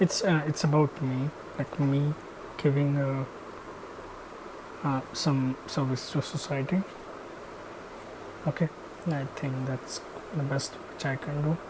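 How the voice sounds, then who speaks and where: A man talks fairly slowly at a fairly high pitch, with long, frequent pauses. His intonation is monotone and flat, and there is noticeable background noise. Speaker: machine learning engineer, educational YouTuber. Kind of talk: channel intro monologue. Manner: slow, hesitant with many fillers.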